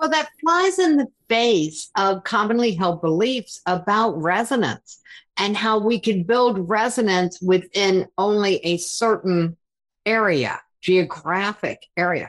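Very slowly and at very even loudness, a woman speaks with lively intonation. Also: medium pitch for a woman, quiet background. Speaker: podcast host. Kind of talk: interview conversation.

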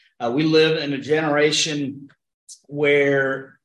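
This man has an unremarkable speaking voice with a fairly high pitch. He talks at a moderate pace. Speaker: pastor. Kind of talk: Bible study discussion. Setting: church.

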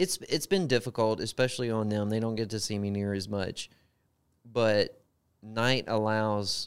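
With a Southern accent, a man talks at a moderate pace in a medium pitch and fairly even intonation, recorded very cleanly against a silent background. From US South, Gulfport, Mississippi. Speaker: truck driver, former sheriff's deputy. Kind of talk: podcast interview.

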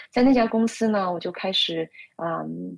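A woman speaks at a fairly slow pace in a medium pitch. The sound is dry and close, with no echo. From Shanghai, China. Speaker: consultant and social media writer. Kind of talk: interview. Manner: hesitant, many fillers.

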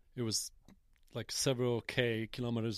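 Here a man speaks with a Polish accent. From Poland, Jelenia Gora. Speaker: cycling team manager. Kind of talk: casual interview. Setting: outdoors on a mountain top.

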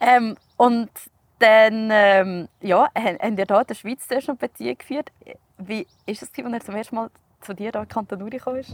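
A woman's plain, everyday voice, fairly high in pitch, at a moderate pace with ordinary pitch variation, big swings in loudness, and a dry, close sound with no echo. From Switzerland, canton Uri (Erstfeld). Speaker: podcast host. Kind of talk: scripted narration; casual interview. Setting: outdoors.

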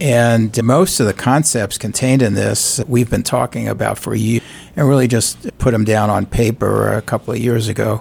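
A man with a New York accent speaks at a medium pitch and moderate pace. His intonation is fairly even, with vocal fry. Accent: New York accent, still noticeable. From New York City. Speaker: civic group chair. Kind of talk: radio interview. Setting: studio.

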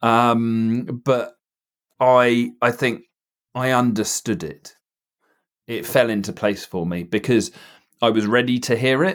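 At a very slow pace with long, frequent pauses, a man talks at a medium pitch with ordinary pitch variation. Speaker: theory test trainer and driving instructor. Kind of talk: casual chat. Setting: video call.

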